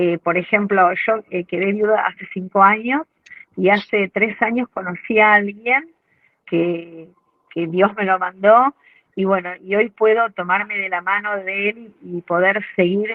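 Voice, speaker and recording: Fairly even intonation and a fairly slow pace from a woman with an ordinary speaking voice at medium pitch. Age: 60s. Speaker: course participant. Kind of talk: testimony.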